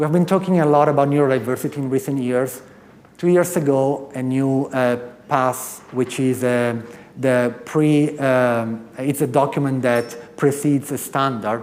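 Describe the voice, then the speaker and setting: A man talks at a moderate pace, at medium pitch, with fairly even intonation. Noticeable background noise and audible room echo are in the recording. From Italy. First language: Italian. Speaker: professor. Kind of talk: conference talk.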